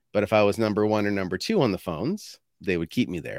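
In a Canadian accent, a man with a fairly low voice talks at a very fast pace with ordinary pitch variation, recorded very cleanly against a silent background. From Canada, New Brunswick. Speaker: sales consultant. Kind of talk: casual interview.

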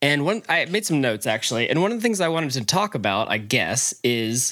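This man has an unremarkable speaking voice and an American accent. He talks at a moderate pace with lively intonation. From North Carolina, Charlotte. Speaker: podcast guest. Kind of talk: casual chat.

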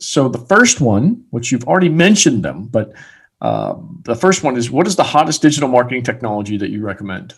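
With vocal fry and very wide pitch swings, a man at medium pitch talks at a fairly quick pace. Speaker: podcast host. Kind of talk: interview.

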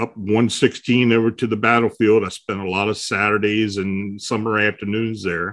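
Speaking at a moderate pace with an American accent, a man keeps a monotone, flat intonation at a fairly low pitch. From south-central Pennsylvania. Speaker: paranormal researcher and blogger. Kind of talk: casual interview.

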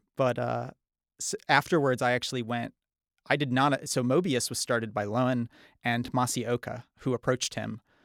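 With an American accent and an unremarkable speaking voice, a man talks at medium pitch with fairly even intonation, on a very clean recording with a silent background and a dry, close sound with no echo. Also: moderate pace. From northern Michigan. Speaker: game developer. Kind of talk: casual interview.

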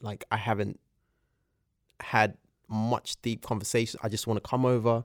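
A man speaks with a London accent. His pitch sits in the medium range. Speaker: podcast guest. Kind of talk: casual chat.

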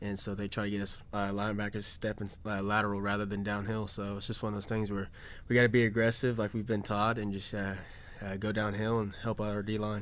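A man with a fairly low pitch speaks at a very fast pace in a monotone, flat delivery. Room echo is audible. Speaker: football player. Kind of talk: casual chat.

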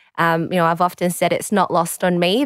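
On a very clean recording with a silent background, a woman speaks with an Australian accent and a fairly low pitch. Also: dry, close sound with no echo. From Australia, southwest Sydney. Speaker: solicitor and political candidate. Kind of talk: interview. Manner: halting.

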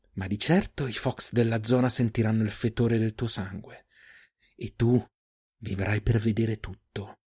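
Doing a put-on character voice, a hoarse man at medium pitch speaks at a moderate pace with fairly even intonation and long, frequent pauses, on a very clean recording with a silent background and a dry, close sound with no echo. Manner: menacing.

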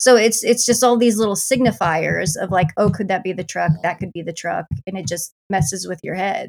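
A woman with a Midwestern American accent speaks at a moderate pace with hardly any pauses. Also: medium pitch for a woman, ordinary pitch variation. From US Midwest. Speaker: film reviewer, YouTuber. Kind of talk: casual chat.

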